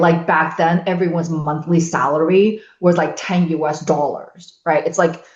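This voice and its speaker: A woman at a fairly low pitch, speaking at a moderate pace. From China (Shanghai), moved to US at 13. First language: Chinese. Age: 50s. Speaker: podcast guest. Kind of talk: casual chat. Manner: loud.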